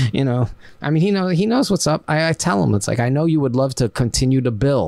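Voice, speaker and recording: A plain, everyday voice speaks with lively intonation. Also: man. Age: 50s. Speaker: action figure artist and adult film performer. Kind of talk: casual chat.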